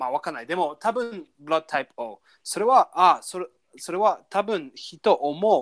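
Animated speech in an English accent unfolds at a fairly slow pace. The recording is very clean with a silent background. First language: English (speaking Japanese). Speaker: language learning podcast co-host. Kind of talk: casual chat. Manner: animated, frequent laughter.

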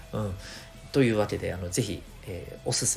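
A man with a fairly low pitch speaks at a fairly quick pace, with noticeable background noise and audible room echo. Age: 40s. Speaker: career education coach. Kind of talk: podcast monologue.

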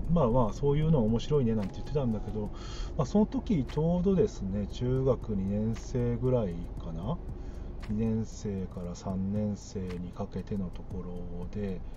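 A man talks at a medium speed while background noise and echo from the room are both audible. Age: 40s. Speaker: podcaster. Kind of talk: casual solo monologue. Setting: in a car. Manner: halting, many fillers.

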